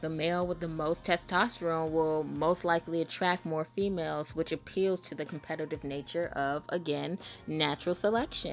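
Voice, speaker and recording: With music in the background, a woman with an American accent speaks at a fairly low pitch, using fairly even intonation and hardly any pauses. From Southern US. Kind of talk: casual monologue commentary. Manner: fast.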